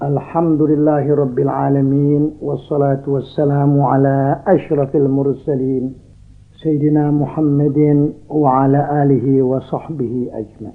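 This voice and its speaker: This man speaks at a very slow pace in a fairly high pitch, his intonation monotone and flat. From Jakarta, Indonesia. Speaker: Islamic cleric, preacher. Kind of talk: religious sermon. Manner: calm, soothing.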